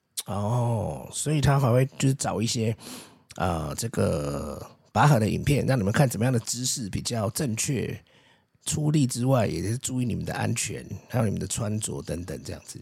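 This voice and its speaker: A man's medium-pitched voice with vocal fry, lively intonation and a moderate pace, in a very clean recording against a silent background. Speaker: podcast host, parent interviewing child. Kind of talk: casual chat. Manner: animated.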